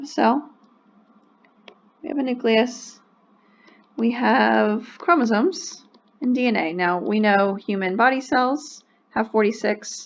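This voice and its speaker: A woman with a fairly high pitch and lively intonation speaks at a fairly slow pace, leaving long, frequent pauses. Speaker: science teacher. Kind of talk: lecture. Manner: casual, with fillers.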